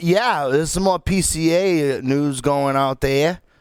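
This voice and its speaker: With a Northeastern US accent, a man speaks with ordinary pitch variation on a very clean recording against a silent background. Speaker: podcast host. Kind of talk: casual chat. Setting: live stream show.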